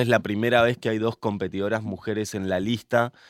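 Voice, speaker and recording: A man speaks in an ordinary speaking voice at a fairly quick pace with fairly even intonation. The recording is very clean, with a silent background. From Argentina, Mendoza. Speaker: podcast host, interviewer. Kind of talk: casual interview.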